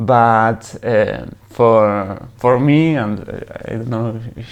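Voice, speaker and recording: A man with a Spanish accent at a medium pitch, against noticeable background noise. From Uruguay. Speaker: long-distance cycle tourer. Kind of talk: casual interview. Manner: halting.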